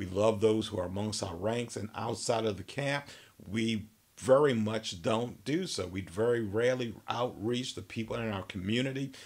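The speech runs at a moderate pace with ordinary pitch variation. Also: man. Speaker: minister. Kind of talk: sermon. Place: office.

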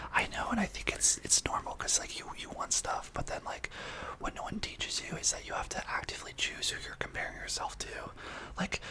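Someone whispers at a very fast pace. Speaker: podcast co-host. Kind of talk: casual podcast conversation. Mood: empathetic, reflective. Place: home room. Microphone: studio mic.

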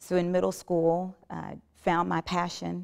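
A woman with an American accent speaks over a quiet background. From South Carolina. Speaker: gospel worship singer. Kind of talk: testimony. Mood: earnest, reflective. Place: studio. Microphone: lapel.

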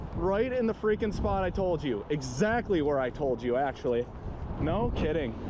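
A man at a moderate pace with very wide pitch swings, in a dry sound with no echo and noticeable background noise. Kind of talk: excited fishing commentary. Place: waterside. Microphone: phone near.

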